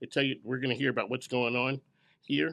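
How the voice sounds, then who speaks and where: A man with an American accent talks at medium pitch with vocal fry. The background is quiet. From Philadelphia. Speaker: business radio show host. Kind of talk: event emcee speech to live audience. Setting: grand opening event with audience. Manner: casual, unscripted.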